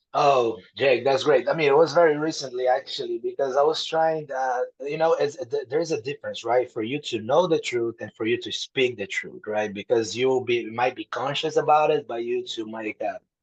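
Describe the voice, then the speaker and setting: Using a Brazilian Portuguese accent, a man with a fairly high pitch talks at a moderate pace with hardly any pauses and ordinary pitch variation, the sound dry and close with no echo. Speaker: author. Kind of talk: podcast interview.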